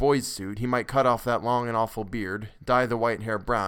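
This is a natural reading voice. The intonation is fairly even.

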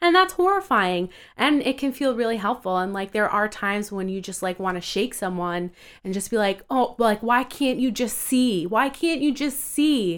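With an American accent, a woman speaks at a moderate pace with a fairly high pitch and very wide pitch swings. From Long Island, New York. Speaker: vegan blogger and body positivity advocate. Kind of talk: casual chat.

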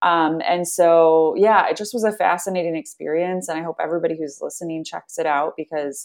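A woman talks at a fairly quick pace with an American accent in an ordinary speaking voice, pitched fairly low. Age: 30s. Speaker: nonprofit founder. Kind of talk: interview conversation.

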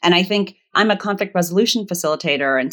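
Recorded very cleanly against a silent background, a woman with a normal speaking voice and an American accent speaks at a medium pitch with lively intonation. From Virginia, US. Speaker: conflict resolution facilitator and author. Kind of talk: casual interview conversation.

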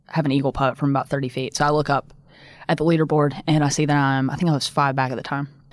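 A woman speaks with a Southern US accent and a very deep, low pitch. The background is quiet. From US South, upstate South Carolina. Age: 20s. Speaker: professional golfer. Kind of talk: casual interview.

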